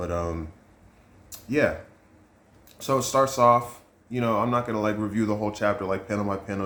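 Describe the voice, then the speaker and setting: At a fairly quick pace, a man talks with a fairly low pitch and fairly even intonation. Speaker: manga reviewer / youtuber. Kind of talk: casual review monologue. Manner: fast.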